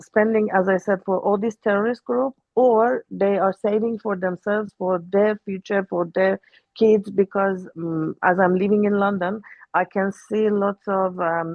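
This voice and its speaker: A woman with an Iranian accent speaks at a fairly slow pace, her pitch medium and her intonation fairly even. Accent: Iranian (Persian). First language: Persian. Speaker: Iranian opposition activist. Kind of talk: panel discussion. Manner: halting.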